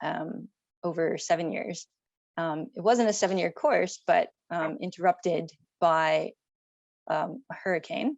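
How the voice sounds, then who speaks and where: Speaking in an American accent, a woman with a fairly low pitch moves at a fairly slow pace with ordinary pitch variation and long, frequent pauses. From United States. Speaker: company founder and architect. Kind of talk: interview.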